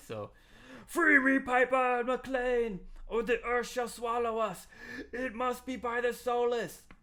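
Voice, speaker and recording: In a put-on character voice, the speaker projects loudly at a fairly slow pace. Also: man, extremely high pitch for a man. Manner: commanding.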